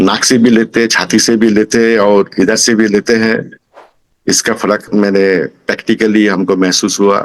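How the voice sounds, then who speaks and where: Keeping his loudness very even, a man speaks at a fairly low pitch in a flat monotone. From Kolkata, India. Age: 60s. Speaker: singing student. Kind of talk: testimonial interview answer.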